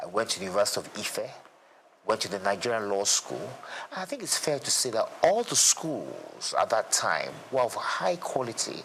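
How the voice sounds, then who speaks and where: Moderate pacing over noticeable background noise. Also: man. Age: 60s. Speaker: lawyer and former state commissioner. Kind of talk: interview. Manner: halting, with frequent repetitions.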